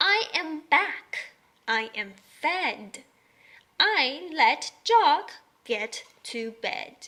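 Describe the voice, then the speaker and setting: Someone uses a put-on character voice with a high pitch and very wide pitch swings. The delivery is very slow, broken by long, frequent pauses. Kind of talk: children's early-reader story. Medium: read story. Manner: simple, bouncy.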